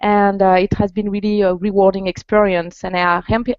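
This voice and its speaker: A woman with a French accent speaks at a moderate pace and a medium pitch. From France. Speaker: executive coach. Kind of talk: interview. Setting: video call.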